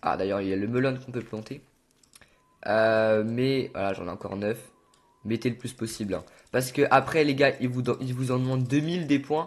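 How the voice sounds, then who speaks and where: The pitch varies in an ordinary way. Long, frequent pauses run throughout. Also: man, medium pitch for a man. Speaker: gaming youtuber. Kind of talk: tutorial. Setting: on camera with game footage. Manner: fast; animated.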